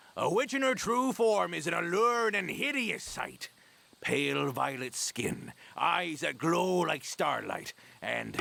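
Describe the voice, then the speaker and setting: Here a man puts on a character voice. His pitch sits high for a man. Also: fairly slow pace. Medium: video game. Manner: hearty pirate bravado.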